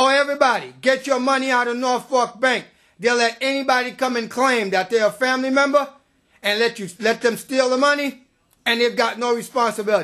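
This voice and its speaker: This man talks at a fairly quick pace in a raised, projected voice with an extremely high pitch. His tone is animated, bright and sharp. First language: not English. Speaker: activist resident. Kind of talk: public complaint speech.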